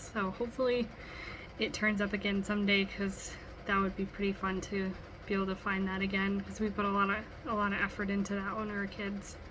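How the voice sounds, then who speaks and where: Noticeable background noise runs through the clip. The speech comes at a fairly quick pace. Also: woman. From US Midwest, Wisconsin. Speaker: student. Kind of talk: recorded class assignment monologue. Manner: casual, many filler ums.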